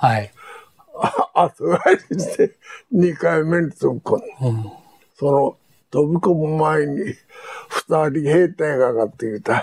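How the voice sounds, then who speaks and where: A man talks at a very slow pace with long, frequent pauses and ordinary pitch variation. His voice sits fairly high, with a dry, close sound and no echo. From Japan, Hiroshima. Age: 90s. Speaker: war veteran. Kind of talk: testimony.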